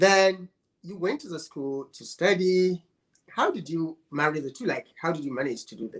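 A high-pitched man at a moderate pace, with ordinary pitch variation and big swings in loudness. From northern Nigeria. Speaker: online show host. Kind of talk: interview.

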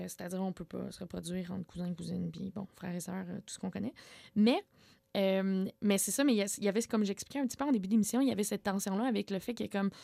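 A woman's very fast delivery at medium pitch, dark and mellow in tone, with ordinary pitch variation and a dry, close sound with no echo. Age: 20s. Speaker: community organizer, former sect member. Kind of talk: radio interview.

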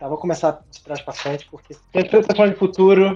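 Fairly quick and fairly even in intonation, a man speaks in an unremarkable speaking voice. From Brazil, Rio de Janeiro (Niterói). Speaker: data scientist and novelist. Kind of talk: interview.

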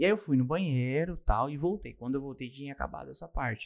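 A man speaks quickly, fairly high in pitch, in a normal speaking voice. His intonation is lively. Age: 20s. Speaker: podcaster. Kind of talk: interview.

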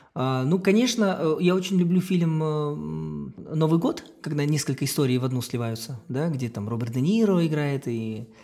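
At a fairly slow pace, a man with a fairly high pitch speaks in a dark, mellow tone with lively intonation. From Kazakhstan. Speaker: circus artist and clown. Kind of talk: casual chat.

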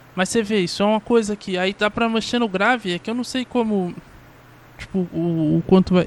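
Moderate pace and ordinary pitch variation in a man's high voice. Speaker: podcaster. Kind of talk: casual solo monologue. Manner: animated.

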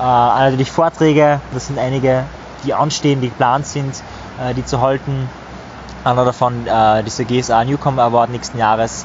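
Over noticeable background noise, a medium-pitched man talks at a moderate pace with monotone, flat intonation. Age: 20s. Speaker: psychology coach and public speaker. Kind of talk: casual chat. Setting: outdoors by a river.

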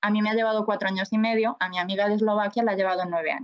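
Very fast speech with fairly even intonation. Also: woman. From Spain, Galicia (A Coruña). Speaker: nurse. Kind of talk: interview.

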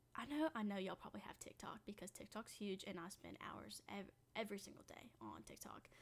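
A woman whispers with an American accent at a fairly quick pace, with hardly any pauses. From Missouri. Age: 20s. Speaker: podcast host and college student. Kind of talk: casual chat, solo podcast intro. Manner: excited, chatty.

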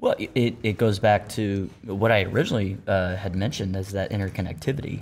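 With an American accent, a man talks at a moderate pace in a fairly low pitch with ordinary pitch variation and an unremarkable speaking voice, on a very clean recording with a silent background. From Ohio. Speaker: company team member. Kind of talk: casual chat.

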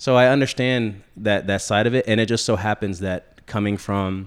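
A man with an American accent uses a plain, everyday voice with fairly even intonation, recorded very cleanly over a silent background. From Central Florida. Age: 30s. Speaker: sales rep, former chef. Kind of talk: casual chat.

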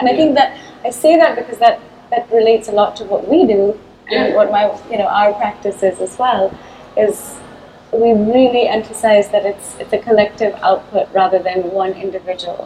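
Noticeable background noise sits behind a woman whose voice shows ordinary pitch variation. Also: fairly high pitch for a woman, moderate pace. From Chennai, India. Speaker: artist and designer with theatre background. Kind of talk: casual interview conversation.

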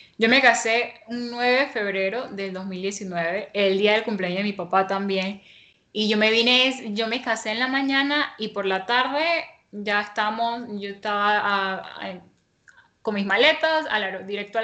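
Ordinary pitch variation in a normal speaking voice, delivered at a fairly slow pace. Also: woman, medium pitch for a woman. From Panama. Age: 20s. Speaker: interviewee, young married woman and home baker. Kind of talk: personal testimony in interview.

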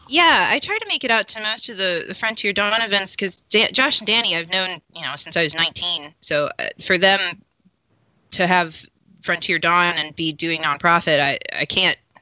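A woman uses a plain, everyday voice at medium pitch, moving at a moderate pace with ordinary pitch variation. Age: 20s. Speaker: LARP player and ukulele musician. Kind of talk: casual chat.

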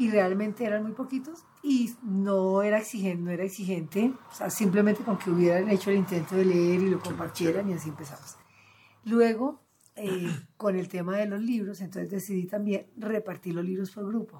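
Using a plain, everyday voice, a woman speaks at medium pitch and a moderate pace with ordinary pitch variation. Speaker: cultural manager and literary gathering founder. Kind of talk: interview.

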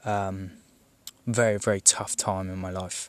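Speaking with a southern English accent, a man has a fairly low pitch. His delivery is fairly slow, with flat, monotone intonation. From southern England. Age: 20s. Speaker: gaming podcaster. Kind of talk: personal monologue. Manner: hesitant, many fillers.

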